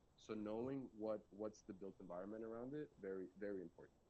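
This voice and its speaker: Speaking at a fairly quick pace with a Spanish accent, a man uses a fairly low pitch, a dark, mellow tone and ordinary pitch variation. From Colombia. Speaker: data strategist, conference speaker. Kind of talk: presentation talk; Q&A answer about career.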